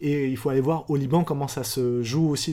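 A man's fairly high-pitched voice with a dark, mellow tone, fairly even intonation and a fairly quick pace, in a very clean recording over a silent background. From France. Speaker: novelist and philosopher. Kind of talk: interview.

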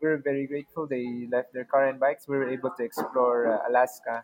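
With a normal speaking voice, a man talks at a fairly slow pace, his pitch medium and his intonation fairly even. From Philippines. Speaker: travel content creator and house sitter. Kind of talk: interview.

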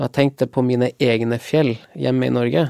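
A man speaks at a medium pitch with a dark, mellow tone. The sound is dry and close, with no echo. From Lofoten, northern Norway. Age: 40s. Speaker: war veteran. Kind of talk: interview conversation. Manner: halting with fillers.

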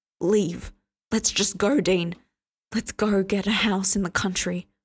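In a put-on character voice, a woman speaks shakily at a medium pitch and a fairly slow pace, her intonation fairly even.

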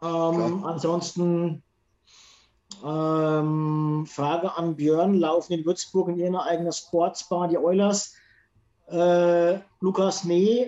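The speech moves at a very slow pace with a monotone, flat intonation and long, frequent pauses. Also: man, high pitch for a man. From Franconia, Germany. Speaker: podcast host. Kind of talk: casual chat.

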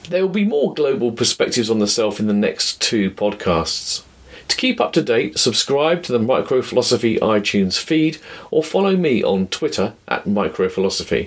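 With a British accent, a man talks at a moderate pace and medium pitch. His loudness stays very even while his pitch swings very widely. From Britain. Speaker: podcast host, philosopher. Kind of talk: scripted narration.

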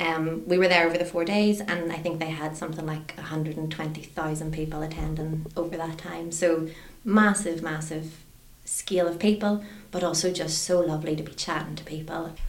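Against noticeable background noise, a woman with a fairly low pitch speaks at a moderate pace in a monotone, flat intonation, with big swings in loudness. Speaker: charity manager. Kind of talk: casual chat.

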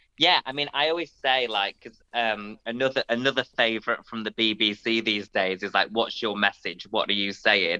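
This man's voice has a bright, sharp tone at a medium pitch, with ordinary pitch variation, a moderate pace, and a dry, close sound with no echo. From northern England. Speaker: comedian. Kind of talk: casual chat.

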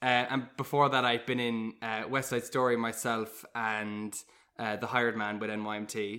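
A man with a Cork accent speaks at a moderate pace in a medium pitch with monotone, flat intonation. His tone is bright and sharp, and the recording is very clean with a silent background. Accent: Cork Irish. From Ireland, Cork. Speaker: musical theatre actor. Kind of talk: casual chat.

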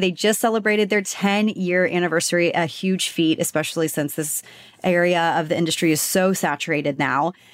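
A woman with an unremarkable speaking voice talks at a fairly quick pace and medium pitch. Her pitch variation is ordinary and her loudness very even. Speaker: podcast host. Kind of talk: casual interview chat.

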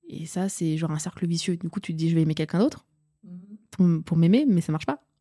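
A woman with a fairly low voice speaks in a dark, mellow tone and fairly even intonation. The sound is dry and close with no echo, on a very clean recording with a silent background. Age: 20s. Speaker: student. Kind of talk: casual chat.

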